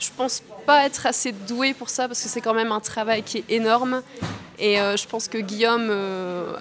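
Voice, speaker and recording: The woman's voice sits fairly high, with fairly even intonation. She keeps a moderate pace over noticeable background noise. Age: 20s. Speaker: actress and student. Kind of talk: interview. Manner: hesitant with fillers.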